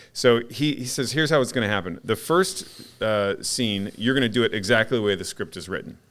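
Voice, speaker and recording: A man in a normal speaking voice, medium in pitch, with lively intonation, a fairly quick pace and hardly any pauses. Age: 50s. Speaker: podcast host. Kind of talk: casual chat.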